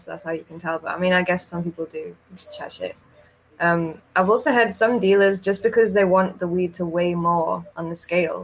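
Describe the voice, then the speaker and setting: There is noticeable background noise as a woman speaks. Her pitch is medium and her intonation fairly even. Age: 20s. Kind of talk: casual chat. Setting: video call.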